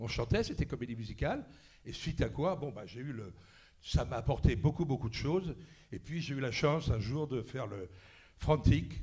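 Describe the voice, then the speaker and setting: There is audible room echo as a man talks at a moderate pace with lively intonation. His voice has vocal fry. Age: 70s. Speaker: actor. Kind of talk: panel talk anecdotes. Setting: stage with audience. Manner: animated.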